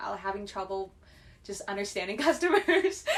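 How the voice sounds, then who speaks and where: Her voice fairly high in pitch, a woman speaks with a Chinese accent. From China. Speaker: podcast guest. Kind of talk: casual chat.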